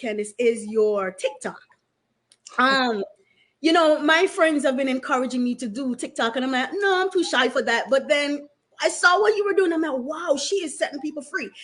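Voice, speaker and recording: With a Jamaican accent, a woman speaks at a high pitch with lively intonation. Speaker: talk show host. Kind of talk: casual interview conversation.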